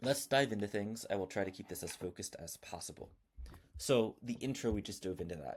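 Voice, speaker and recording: A fairly quick pace with lively intonation. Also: man, fairly low pitch for a man. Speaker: software founder demoing own tool. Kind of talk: tutorial. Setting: home, early morning before kids wake. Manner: fast.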